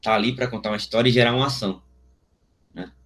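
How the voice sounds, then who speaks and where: A man's voice with vocal fry. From Alagoas, Brazil. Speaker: visual artist. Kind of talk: interview answer. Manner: casual, slangy.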